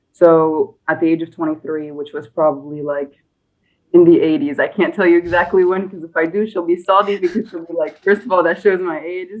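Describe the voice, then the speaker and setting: A woman with an American accent speaks at a fairly quick pace. Her pitch is fairly low, with ordinary variation. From United States, partly Egypt. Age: 20s. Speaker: nurse, podcast guest. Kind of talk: interview conversation. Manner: hesitant with many fillers.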